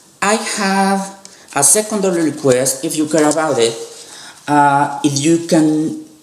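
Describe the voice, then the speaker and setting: A fairly slow voice with a non-native accent and ordinary pitch variation, with noticeable background noise and audible room echo. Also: man, fairly high pitch for a man. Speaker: youtuber, animation fan. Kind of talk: video commentary monologue. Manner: halting, with frequent fillers.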